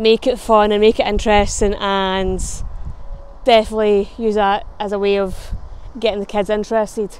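A woman with a Scottish accent speaks at a medium pitch in a monotone, flat way. Her speech has long, frequent pauses. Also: moderate pace, dry sound with no echo. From Scotland. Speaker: travel vlogger. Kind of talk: casual talk to camera. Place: street. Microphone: lapel.

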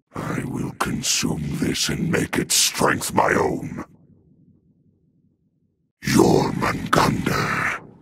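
Using a put-on character voice, a raspy man talks at a very slow pace with long, frequent pauses. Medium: dub. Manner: menacing, sneering.

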